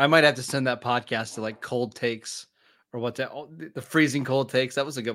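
A man's normal speaking voice at medium pitch, fairly quick, with fairly even intonation, on a very clean recording with a silent background. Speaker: podcast co-host. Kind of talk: casual sports podcast banter.

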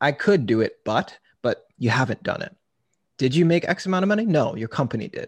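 Against a quiet background, a somewhat breathy voice moves at a fairly quick pace with lively intonation. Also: man. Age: 20s. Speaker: content creator and marketing manager. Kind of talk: casual interview.

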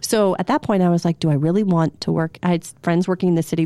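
A woman's fairly low, dark and mellow voice at a very fast pace, fairly even intonation, dry and close with no echo. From Pennsylvania, Berks County. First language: not English as a small child. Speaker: TV news reporter. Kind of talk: casual chat. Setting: studio.

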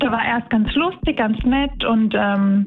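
A woman's fairly high voice moves at a fairly slow pace with noticeable background noise behind it. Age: 30s. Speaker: tram driver. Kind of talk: interview.

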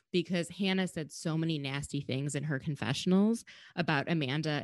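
A woman with an American accent, very deep and low in pitch, with lively intonation over a quiet background. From Minnesota. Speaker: podcast host. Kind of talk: casual chat.

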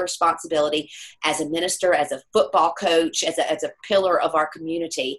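The speech moves at a very fast pace. It carries an American accent. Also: woman. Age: 50s. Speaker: metaphysical healer and speaker. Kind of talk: interview.

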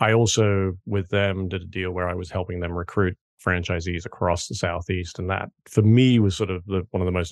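A man with a British accent and a very deep, low pitch talks at a fairly quick pace against a quiet background. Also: dry, close sound with no echo. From United Kingdom. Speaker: franchise consultant. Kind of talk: interview.

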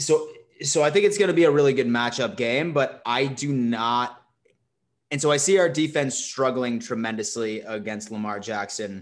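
Medium in pitch, a man speaks in a normal speaking voice with lively intonation. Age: 20s. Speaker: sports podcast host. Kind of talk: casual chat.

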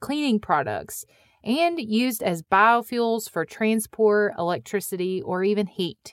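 In a Midwestern US accent, a woman speaks fairly slowly at a fairly high pitch with lively intonation, the sound dry and close with no echo on a very clean recording with a silent background. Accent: Midwestern US accent, noticeable. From US Midwest. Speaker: podcast host. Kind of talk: scripted narration.

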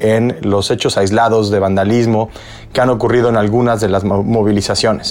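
Against noticeable background noise, a man speaks at a medium pitch and moderate pace with fairly even intonation. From Mexico. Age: 40s. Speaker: podcast host. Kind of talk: interview.

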